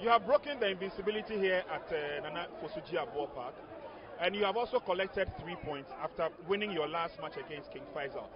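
Over crowd noise, a high-pitched man talks at a fairly quick pace with lively intonation and big swings in loudness. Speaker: football commentator. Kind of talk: live sports commentary and post-match interview. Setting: outdoors at stadium.

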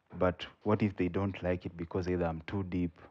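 With a Kenyan accent, a man speaks at a fairly quick pace in a very deep, low pitch and a monotone, flat intonation. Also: quiet background. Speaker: spoken word poet. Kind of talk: podcast interview answer.

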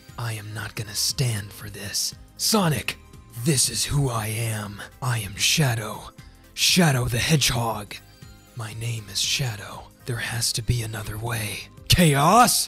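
Over faint music in the background, someone performs a put-on character voice at a fairly slow pace. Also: man, medium pitch for a man. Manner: cold, intense, serious.

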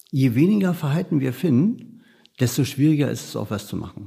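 Over a silent background in a very clean recording, a man speaks at a moderate pace in a dark, mellow tone. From Berlin, Germany. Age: 50s. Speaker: criminal profiler, police unit head. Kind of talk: interview.

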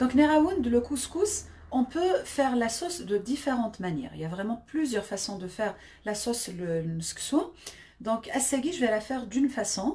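A woman's voice sits high in pitch with a dark, mellow tone. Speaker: home cook livestreamer. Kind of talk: casual live stream chat. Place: kitchen. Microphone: phone near.

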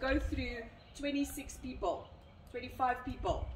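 A woman speaks at a high pitch. Light background noise and audible room echo surround her voice. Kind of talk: briefing to a group. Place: street. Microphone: camera far.

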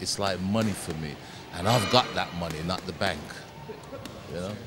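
Noticeable background noise sits under speech at a moderate pace with ordinary pitch variation. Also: man, very deep, low pitch for a man. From Caribbean. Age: 60s. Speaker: former boxing champion and boxing coach. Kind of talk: interview answer.

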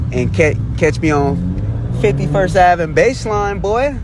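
A man is recorded with a dry sound and no echo, though noticeable background noise runs underneath. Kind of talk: casual vlog chat. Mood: excited, proud. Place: car. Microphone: phone near.

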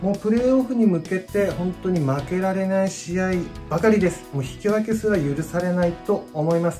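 Clear music sits in the background. A woman speaks at a fairly quick pace. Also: medium pitch for a woman, ordinary pitch variation. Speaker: football supporter. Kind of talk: casual vlog talk to camera. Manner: polite, enthusiastic. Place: home room. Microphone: phone near.

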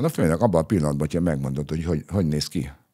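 In a dark, mellow tone, a man speaks against a quiet background. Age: 60s. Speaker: retired police spokesman. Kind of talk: interview. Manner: hesitant, many fillers. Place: studio. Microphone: studio mic.

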